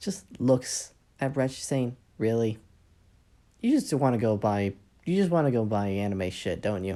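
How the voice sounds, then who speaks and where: A woman speaks quietly in a very deep, low pitch with a dark, mellow tone and lively intonation. Her pace is fairly slow with long, frequent pauses, in a very clean recording with a silent background. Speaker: fanfic storyteller. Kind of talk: casual storytelling.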